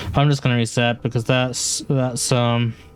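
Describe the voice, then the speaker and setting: Medium-pitched man with a British accent, music in the background. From UK. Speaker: game streamer. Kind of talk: live gameplay stream chat. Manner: monotone; halting, repeats words.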